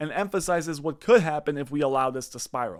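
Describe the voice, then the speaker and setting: Here a man speaks at a very fast pace. His pitch is fairly high. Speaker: finance commentary YouTuber. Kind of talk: scripted video commentary narration.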